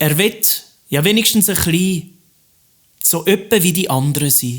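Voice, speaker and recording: The man's pitch is high. His intonation is lively. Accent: Swiss German. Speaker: cabaret artist; teacher. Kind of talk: rhymed cabaret stage monologue. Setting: live stage recording.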